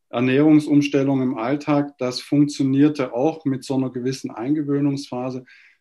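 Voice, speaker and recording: Hardly pausing, a man talks in a dark, mellow tone with monotone, flat intonation at a fairly high pitch. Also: moderate pace. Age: 50s. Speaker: lawyer, coaching client. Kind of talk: testimonial interview.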